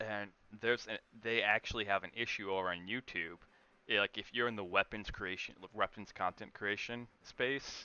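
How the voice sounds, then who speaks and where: A man talks in an ordinary speaking voice, fairly low in pitch. His pace is moderate and his intonation fairly even. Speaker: gaming streamer. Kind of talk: casual chat.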